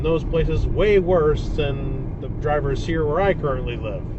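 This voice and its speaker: Background noise is clearly audible, along with noticeable echo from the room. The speaker goes at a moderate speed. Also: man. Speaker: dashcam video creator. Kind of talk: casual commentary monologue. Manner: loud.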